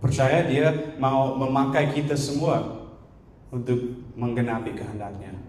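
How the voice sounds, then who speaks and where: Through audible room echo and noticeable background noise, a man speaks very slowly at medium pitch with fairly even intonation. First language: not Indonesian (speaking Indonesian). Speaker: guest preacher. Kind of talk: sermon. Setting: church.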